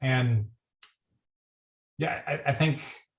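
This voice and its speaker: A man speaks at medium pitch with ordinary pitch variation. He has a normal speaking voice. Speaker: critical care physician. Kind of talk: panel discussion.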